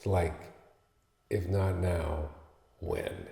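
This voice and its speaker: A man speaks at a fairly slow pace. Room echo is audible around him. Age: 70s. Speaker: luthier and guitarist. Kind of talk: casual talk about his piece and guitar. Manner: halting, with fillers.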